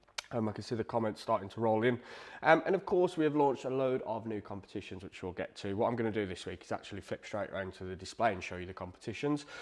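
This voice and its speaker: A man with an English accent talks at a very fast pace, his pitch swinging very widely. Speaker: live draw host, guitar shop owner. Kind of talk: livestream commentary. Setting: livestream on camera. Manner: less energetic than usual.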